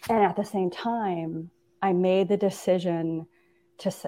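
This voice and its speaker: A woman with an American accent speaks in a fairly even intonation against a quiet background. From US Midwest, Minnesota. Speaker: leadership coach and former educator. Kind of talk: interview conversation.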